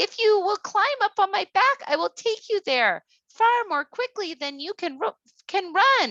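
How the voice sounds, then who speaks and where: A squeaky, put-on character voice speaks at a moderate pace. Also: woman, extremely high pitch for a woman. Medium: read story.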